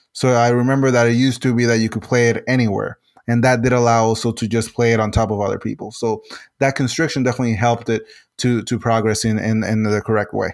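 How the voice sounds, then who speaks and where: A very fast, monotone, flat delivery from a man with a Spanish accent at a medium pitch, on a very clean recording with a silent background. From Puerto Rico. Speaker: game designer and civil engineer. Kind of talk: interview. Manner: halting, many fillers and repetitions.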